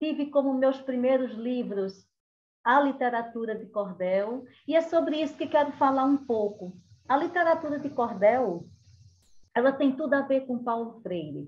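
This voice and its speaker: She speaks in a Pernambuco accent with a high pitch and ordinary pitch variation. Her pace is fairly slow. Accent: Northeastern Brazilian (Pernambuco), kept. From Brazil, Caruaru, Pernambuco (Northeast). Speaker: cordel poet and storyteller. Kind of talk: cultural talk with storytelling.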